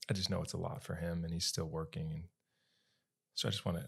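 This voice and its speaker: Somewhat breathy, a man with an American accent speaks at a very deep, low pitch with ordinary pitch variation. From western North Carolina (Asheville). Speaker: podcast co-host. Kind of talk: casual faith conversation.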